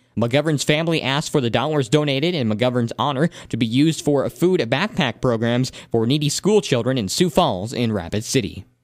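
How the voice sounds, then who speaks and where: This is a normal speaking voice. It has lively intonation and moves at a fairly quick pace. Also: man. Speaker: radio broadcaster. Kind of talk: radio news read. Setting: studio.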